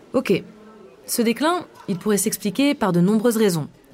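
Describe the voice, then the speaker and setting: Noticeable background noise sits under the recording. A woman talks at a medium pitch. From Grenoble area, Rhône-Alpes, France. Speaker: podcast host, reporter. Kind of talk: scripted narration.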